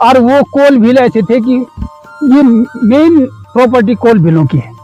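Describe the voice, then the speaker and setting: With music in the background, a man speaks at an extremely high pitch, with lively intonation and very even loudness. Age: 80s+. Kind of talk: interview answer.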